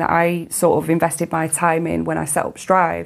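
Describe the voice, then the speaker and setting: At a moderate pace, a woman speaks in a British accent. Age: 40s. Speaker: CEO of a women's sports organisation. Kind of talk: interview.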